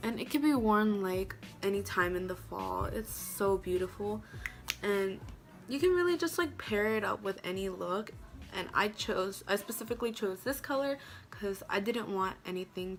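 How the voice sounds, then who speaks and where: Faint music in the background accompanies a woman talking at a moderate pace. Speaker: beauty vlogger. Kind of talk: tutorial. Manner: casual. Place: home room. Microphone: phone near.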